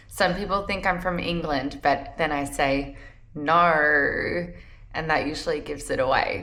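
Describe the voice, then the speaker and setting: With an Australian accent, a woman speaks fairly slowly at a fairly low pitch with ordinary pitch variation, in audible room echo. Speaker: travel points and credit card content creator. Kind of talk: personal vlog talk to camera. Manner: casual, conversational.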